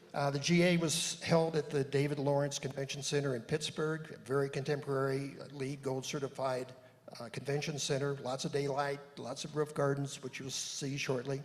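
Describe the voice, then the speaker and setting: Through audible room echo, a man with a fairly high pitch speaks at a moderate pace in a monotone, flat intonation. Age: 70s. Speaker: church member presenting on a conference. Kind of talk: panel presentation to congregation. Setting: church service with audience, handheld mic. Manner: halting, with many fillers.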